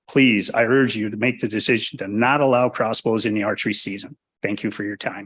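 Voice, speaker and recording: A man in an ordinary speaking voice, medium in pitch, at a fairly quick pace with fairly even intonation. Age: 60s. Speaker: public commenter, bow hunter. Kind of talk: public comment at hearing. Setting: public meeting.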